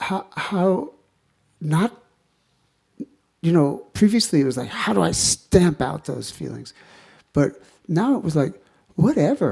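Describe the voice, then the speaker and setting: A man speaks at a fairly slow pace with long, frequent pauses. His fairly high voice moves through very wide pitch swings. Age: 70s. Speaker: kirtan singer and retreat leader. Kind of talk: spiritual talk. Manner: halting.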